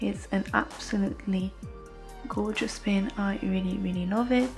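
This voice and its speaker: With music in the background, a woman speaks at a fairly slow pace in a non-native accent. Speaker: enamel pin collector. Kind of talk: casual talk to camera.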